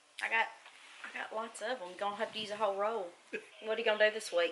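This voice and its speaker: Fairly quick speech in an American accent carries fairly even intonation over noticeable background noise. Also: woman. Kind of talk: casual interview host.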